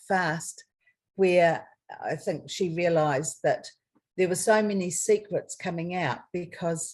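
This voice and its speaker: Fairly slow, somewhat breathy speech with a New Zealand accent and fairly even intonation. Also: woman. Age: 60s. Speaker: adoptee. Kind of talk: interview answer.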